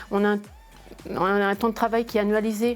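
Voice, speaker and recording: Speaking in a monotone, flat intonation at a moderate pace, this woman has a fairly high pitch. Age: 50s. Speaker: accountant. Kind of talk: interview. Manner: hesitant, many fillers and repetitions.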